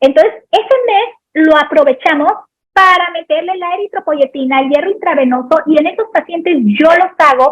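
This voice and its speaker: Speaking in a Sinaloan accent, a woman with an extremely high pitch keeps a moderate pace, her tone animated and her intonation lively. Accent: Sinaloan Mexican Spanish. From Mexico, Sinaloa. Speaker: pediatric anesthesiologist. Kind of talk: lecture Q&A.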